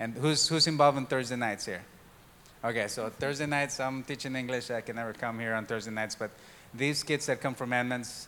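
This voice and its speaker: A man's medium-pitched voice in a Spanish accent, bright and sharp, fairly even in intonation and at a fairly quick pace. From Mexico. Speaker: church diversity and outreach worker. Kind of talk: church talk. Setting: church service with congregation.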